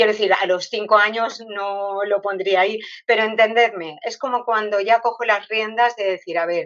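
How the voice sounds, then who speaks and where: A woman at a medium pitch, with ordinary pitch variation and a moderate pace. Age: 60s. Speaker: retired teacher. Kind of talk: interview. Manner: hesitant, with many fillers.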